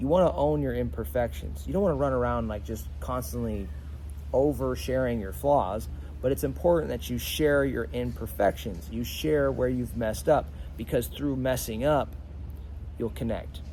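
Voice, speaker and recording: With music in the background and audible room echo, a man speaks in an animated tone at a very deep, low pitch. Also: lively intonation, moderate pace. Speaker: leadership coach. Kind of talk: motivational talk to camera. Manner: stutters at times; casual, animated.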